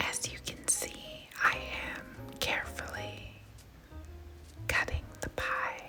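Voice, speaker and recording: A woman whispers in a calm tone at a very slow pace, pausing often and at length. Her loudness swings widely, and music plays in the background. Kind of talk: ASMR cooking narration. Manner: whispered; soft-spoken, calm.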